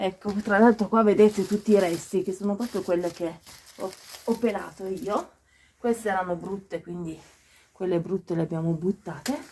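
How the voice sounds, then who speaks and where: Against light background noise, a woman speaks at a moderate pace, leaving long, frequent pauses. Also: ordinary pitch variation. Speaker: vlogger. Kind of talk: casual vlog chat. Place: open country. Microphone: phone near.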